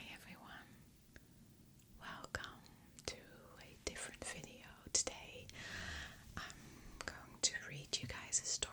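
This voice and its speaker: Whispering comes at a very slow pace with long, frequent pauses over noticeable background noise. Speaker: ASMR creator. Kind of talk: casual talk to camera. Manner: whispered, soft-spoken.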